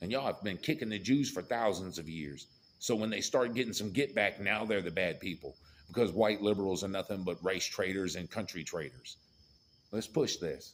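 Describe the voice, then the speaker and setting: A man's fairly low voice with an American accent, fairly quick in pace and animated in tone. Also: ordinary pitch variation. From rural US. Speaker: political commentator. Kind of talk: political rant.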